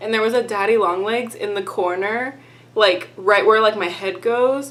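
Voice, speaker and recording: A woman with a Texan accent speaks at a moderate pace in an upbeat tone, her fairly high pitch showing ordinary variation. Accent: mild Texan. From Texas. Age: 20s. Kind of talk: casual talk to camera. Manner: chatty, upbeat.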